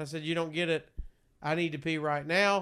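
Speaking at a fairly quick pace in a Southern US accent, a man uses a fairly high pitch and a bright, sharp tone. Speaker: radio host and podcaster. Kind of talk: casual chat. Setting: home studio. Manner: animated.

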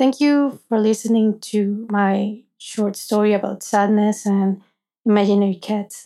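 A woman's fairly high-pitched voice has a dark, mellow tone and a monotone, flat intonation. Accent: Spanish. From Venezuela. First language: Spanish. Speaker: app user sharing a personal story. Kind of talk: personal story narration.

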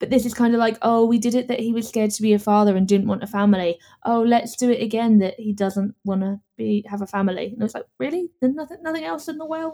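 A woman's dark, mellow voice, fairly high in pitch with ordinary variation, at a very fast pace. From London, England. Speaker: podcast guest and movie reviewer. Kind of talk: casual chat. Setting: Ireland.

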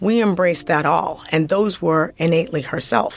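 At a fairly slow pace, a woman with a normal speaking voice speaks at a fairly low pitch with ordinary pitch variation. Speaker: music marketing executive. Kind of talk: interview.

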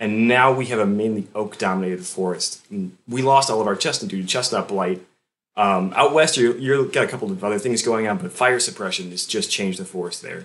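This man has a plain, everyday voice, fairly low in pitch, with ordinary pitch variation and a fairly quick pace. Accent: American. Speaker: forester. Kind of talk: casual interview.

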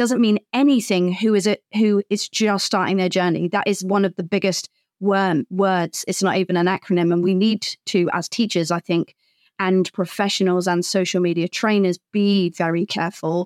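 A British-accented woman at a medium pitch and moderate pace, with fairly even intonation and very even loudness, in a very clean recording with a silent background and a dry, close sound with no echo. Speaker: social media professional, co-host. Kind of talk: casual conversation.

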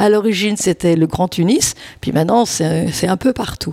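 Noticeable background noise beneath a woman's fairly slow delivery and ordinary pitch variation. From France, Lyon. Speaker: charity volunteer. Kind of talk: casual interview.

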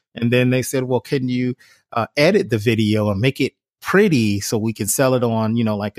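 Recorded very cleanly against a silent background, with a dry, close sound and no echo, a man with an American accent talks at a medium pitch and a fairly quick pace. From US Midwest, Cleveland, Ohio. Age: 40s. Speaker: filmmaker and entrepreneur. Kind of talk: interview. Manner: halting, many fillers and repeated words.

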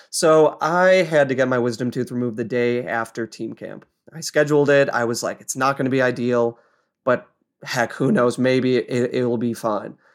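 In an American accent, a normal speaking voice moves at a moderate pace with ordinary pitch variation in a very clean recording with a silent background. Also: man, medium pitch for a man. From Colorado, US. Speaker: bike racer. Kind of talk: casual interview. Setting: home office.

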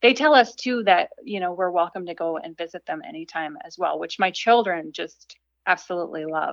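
With an American accent, a woman speaks in a normal speaking voice of medium pitch at a fairly quick pace, using lively intonation and big swings in loudness. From Minnesota, small town. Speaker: writer and speaker. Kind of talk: casual interview chat.

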